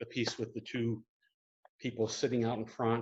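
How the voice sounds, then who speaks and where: A man with a medium pitch, in an upstate New York accent. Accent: upstate New York accent, noticeable. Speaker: painter. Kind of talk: gallery talk and Q&A. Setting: art gallery, live stream. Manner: hesitant, many fillers.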